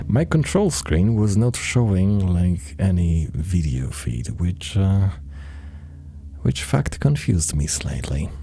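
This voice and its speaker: The voice is quiet and moves at a very slow pace. Noticeable background noise runs underneath. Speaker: gaming streamer. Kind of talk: live gameplay stream commentary. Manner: quiet, muttering; hesitant, many fillers.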